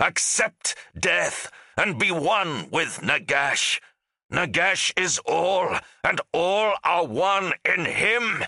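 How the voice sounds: Using a put-on character voice, a man speaks very slowly with a bright, sharp tone, vocal fry and lively intonation. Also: fairly high pitch for a man.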